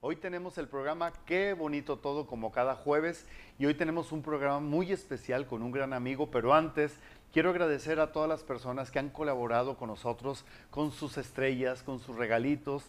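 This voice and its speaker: He has a normal speaking voice with a fairly high pitch for a man. The pace is moderate and the pitch variation ordinary. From Monterrey, Mexico. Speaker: online talk show host. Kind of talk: livestream talk show.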